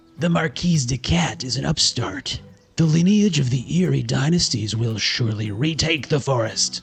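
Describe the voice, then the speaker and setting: A man speaks at a moderate pace in a put-on character voice, medium in pitch, with faint music in the background. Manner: pompous, haughty.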